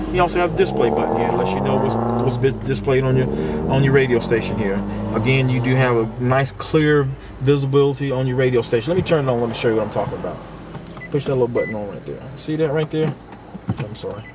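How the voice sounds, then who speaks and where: A man with a medium pitch talks at a very fast pace, with audible room echo and noticeable background noise. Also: ordinary pitch variation. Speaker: car salesman. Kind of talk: product walkthrough.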